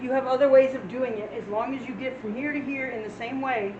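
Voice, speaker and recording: With noticeable background noise and audible room echo, a woman speaks at a high pitch with ordinary pitch variation. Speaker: math teacher. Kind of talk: lecture. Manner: fast; casual.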